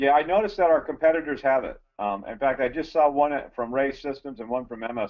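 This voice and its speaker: A man talks at a very fast pace with hardly any pauses. His pitch sits fairly high. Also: ordinary pitch variation. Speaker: gas detection sales or field staff. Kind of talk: technical webinar discussion.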